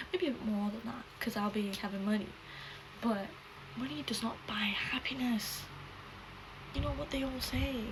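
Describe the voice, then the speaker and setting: A woman with a fairly high voice speaks at a moderate pace with ordinary pitch variation. Noticeable background noise and audible room echo fill the recording. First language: not English. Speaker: YouTuber. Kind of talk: casual chat.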